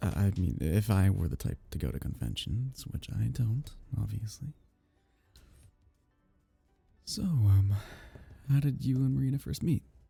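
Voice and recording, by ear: A man does a put-on character voice with a fairly low pitch, a dark, mellow tone, a husky, rough edge, and vocal fry. His intonation is lively at a moderate pace, with faint music in the background.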